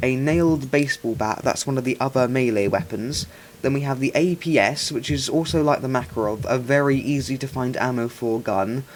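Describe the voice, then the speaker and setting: Noticeable background noise sits under the speech. The pace is fairly quick, with ordinary pitch variation. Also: man. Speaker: gaming youtuber. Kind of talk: gameplay commentary. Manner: stuttering, hesitant with fillers.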